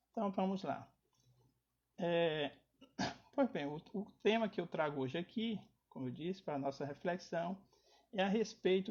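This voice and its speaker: A high-pitched man's voice at a moderate pace. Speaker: spiritist lecturer. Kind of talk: lecture. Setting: online live stream. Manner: soft-spoken.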